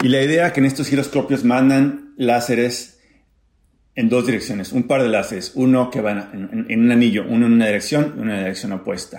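A man's words come at a fairly quick pace, his pitch varying in an ordinary way. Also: medium pitch for a man. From Mexico, Acapulco. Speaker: physics professor. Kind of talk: personal testimony and science explanation. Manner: halting, with fillers and repetitions.

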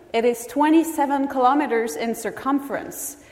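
Lively intonation marks this woman's speech. Audible room echo and noticeable background noise accompany it. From France. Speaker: physicist. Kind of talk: public science lecture.

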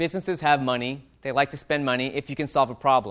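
A man talks at a fairly quick pace in a fairly high pitch, using a normal speaking voice. The recording is very clean, with a silent background. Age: 40s. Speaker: author and sales entrepreneur. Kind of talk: talk to university students.

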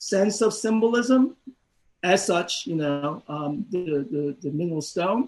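A man speaks high in his range, his intonation lively. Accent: Korean. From South Korea. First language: Korean. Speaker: professor. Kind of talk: academic discussion.

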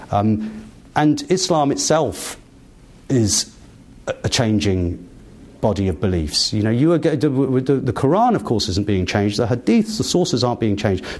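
With an English accent, a man speaks at a medium pitch and a moderate pace. His pitch swings very widely while his loudness stays very even. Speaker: human rights lawyer and author. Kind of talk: interview.

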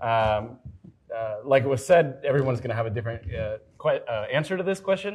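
Somewhat breathy, a man talks at a fairly quick pace and a medium pitch. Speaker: software engineer, panelist. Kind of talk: panel discussion.

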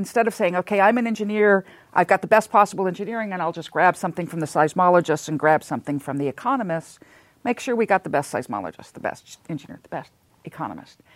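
A woman talks at a very fast pace with an American accent, lively intonation and big swings in loudness. The recording is very clean with a silent background and a dry, close sound with no echo. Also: medium pitch for a woman. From Southern California. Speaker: seismologist. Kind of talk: interview.

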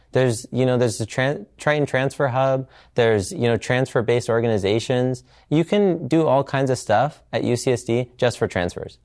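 Medium in pitch, a man talks at a moderate pace with very even loudness and an unremarkable speaking voice. The recording is very clean, the background silent. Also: ordinary pitch variation. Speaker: university student. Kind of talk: interview testimony.

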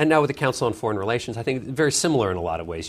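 On a very clean recording with a silent background, a man speaks with a Canadian accent. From Canada (Vancouver). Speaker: author and foreign policy fellow, former journalist. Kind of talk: interview. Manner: frequent repetitions and fillers.

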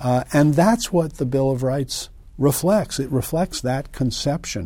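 The speaker is a man with a General American accent. His tone is dark and mellow, and somewhat breathy. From US Northeast and Midwest (Connecticut, Illinois). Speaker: civil liberties lawyer and law professor. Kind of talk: interview. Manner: halting, many fillers.

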